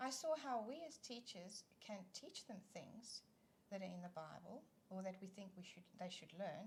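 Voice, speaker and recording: Somewhat breathy and lively in intonation, the voice moves at a moderate pace in a South African accent. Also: woman, medium pitch for a woman. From South Africa (East London). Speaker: children's ministry leader. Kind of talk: casual interview chat.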